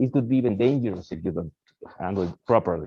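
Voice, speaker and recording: This man speaks very fast with a Spanish accent. His intonation is lively. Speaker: research scientist. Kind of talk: lecture.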